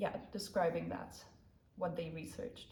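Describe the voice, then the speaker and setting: Speaking with a German accent, a woman uses a medium pitch, fairly even intonation, and vocal fry. Audible room echo surrounds her voice. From Germany. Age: 30s. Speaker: convert telling her story. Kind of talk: personal testimony to camera. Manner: hesitant with fillers.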